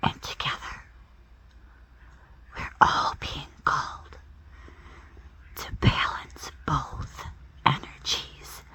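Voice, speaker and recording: The speaker whispers at a very slow pace. Music plays in the background. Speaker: spiritual oracle reader. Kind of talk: ASMR spiritual oracle message reading. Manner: whispered.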